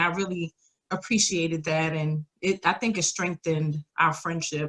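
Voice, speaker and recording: A woman speaks with a New York accent. Her intonation stays fairly even. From New York, the Bronx. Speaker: podcast guest, single mother in blended family. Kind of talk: casual interview chat.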